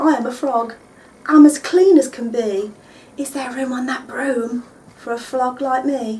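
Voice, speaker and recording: A female-sounding, croaky put-on character voice sits at a fairly high pitch. It moves at a moderate pace. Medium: read story.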